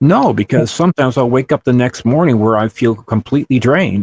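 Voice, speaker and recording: This man has a medium pitch and talks at a very fast pace. The sound is dry and close, with no echo. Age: 60s. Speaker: abduction podcast co-host. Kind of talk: casual chat.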